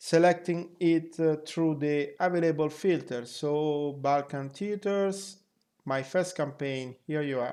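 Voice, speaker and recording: A very slow pace over a quiet background. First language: not English. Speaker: flight sim group member. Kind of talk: software tutorial narration.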